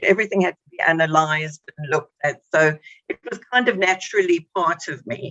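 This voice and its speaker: Dry and close with no echo, this recording has a woman speaking at a moderate pace with a South African accent. Her pitch is very deep and low. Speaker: psychologist. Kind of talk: radio interview. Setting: radio show.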